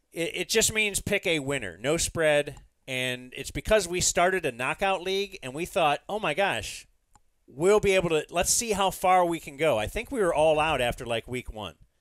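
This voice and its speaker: Dry with no echo against a quiet background, a man's high voice has lively intonation at a moderate pace. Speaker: podcast host. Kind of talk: casual podcast chat explaining rules. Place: studio. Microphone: studio mic.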